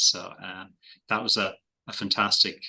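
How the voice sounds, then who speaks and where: Against a quiet background, a bright, sharp tone comes through with an Irish accent at a moderate pace. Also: man. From Ireland. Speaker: investment manager. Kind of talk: podcast interview. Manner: hesitant, many fillers and repeated words.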